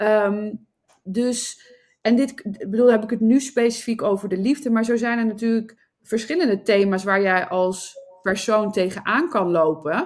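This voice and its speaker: A woman speaks at a fairly slow pace with a fairly high pitch. Her pitch variation is ordinary. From Netherlands, Nijmegen. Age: 40s. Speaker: entrepreneur and love coach. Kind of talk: interview. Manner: halting.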